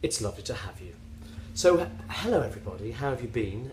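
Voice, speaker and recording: A man's medium-pitched voice in a West Country accent, very wide pitch swings, and audible room echo. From England, West Country (Somerset). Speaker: knitting podcaster. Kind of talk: casual vlog monologue. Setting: self-filmed at home on a tablet. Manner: hesitant, many fillers.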